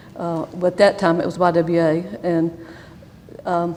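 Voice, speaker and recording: A woman with a Southern US accent, fairly low in pitch and fairly slow, over noticeable background noise. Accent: Southern US (Georgia). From US South, Rome, Georgia. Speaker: church member interviewee. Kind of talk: oral history interview. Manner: halting, with fillers.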